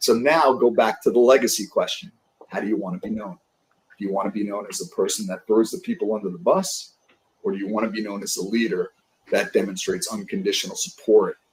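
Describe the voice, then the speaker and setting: A man talks at a very fast pace in a New York accent, his tone animated. His loudness swings widely. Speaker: sales leadership coach. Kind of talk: podcast interview.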